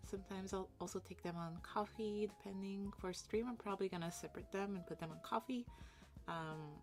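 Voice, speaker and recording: A woman talks at a fairly quick pace. Behind her, music plays. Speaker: illustration artist streamer. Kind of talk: casual livestream chat while drawing. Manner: halting.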